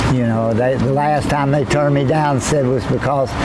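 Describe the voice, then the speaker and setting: Someone with a Southern US accent talks at a moderate pace amid noticeable background noise and audible room echo. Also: man. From US South, Camden, South Carolina. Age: 60s. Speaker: homeless man. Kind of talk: interview testimony. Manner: halting.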